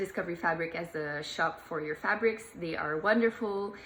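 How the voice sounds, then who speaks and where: A woman's fairly low voice with ordinary pitch movement and noticeable background noise. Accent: Swiss French. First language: French. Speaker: sewing hobbyist. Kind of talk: tutorial. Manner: hesitant, many fillers.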